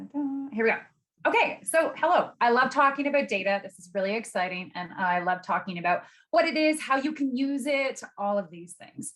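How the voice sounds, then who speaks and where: Fairly quick in pace, a woman talks with a high pitch. Her pitch swings very widely, and her loudness shifts a great deal. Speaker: data expert giving a masterclass. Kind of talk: webinar presentation. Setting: video call. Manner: fast when excited.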